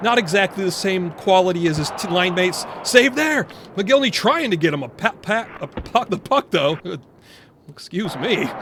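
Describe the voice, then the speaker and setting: Noticeable background noise runs under talking delivered at a moderate pace. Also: man. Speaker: video game commentator, retro hockey gamer. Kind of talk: play-by-play sports game commentary. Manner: casual, chatty, enthusiastic.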